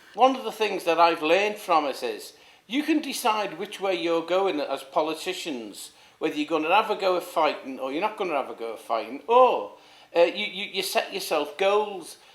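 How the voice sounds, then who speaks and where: With a Liverpool accent, a man speaks at a high pitch and a moderate pace with lively intonation. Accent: Scouse (Liverpool). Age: 60s. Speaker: former councillor. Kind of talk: interview. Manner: halting, many repetitions.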